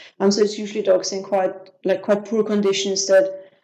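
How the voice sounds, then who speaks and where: With an Austrian accent, a woman talks at medium pitch. Her dark, mellow tone stays monotone and flat. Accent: Austrian German accent, often heard as French. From Austria, Vienna. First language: German. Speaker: business systems manager. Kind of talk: interview. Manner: hesitant, many fillers.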